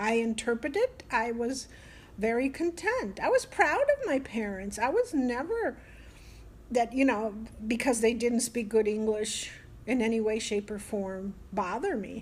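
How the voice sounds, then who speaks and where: This woman has a plain, everyday voice with an American accent. Her pitch is fairly high, with ordinary variation. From Italy, living in the US. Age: 60s. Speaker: grandmother and Italian immigrant. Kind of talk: casual conversation, interview answer. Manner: candid, warm, talkative.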